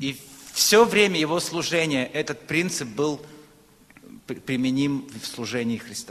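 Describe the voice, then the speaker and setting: Delivery comes at a very slow pace with long, frequent pauses and lively intonation. Noticeable background noise is present. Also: man, fairly high pitch for a man. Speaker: preacher. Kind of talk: sermon.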